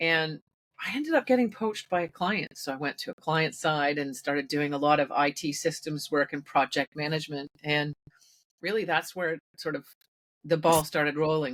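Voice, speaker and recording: With a Canadian accent, a woman speaks at a moderate pace with a very deep, low pitch and ordinary pitch variation, the sound dry and close with no echo. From Canada, Toronto. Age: 50s. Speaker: IT consultant. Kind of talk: podcast interview. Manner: hesitant, many fillers.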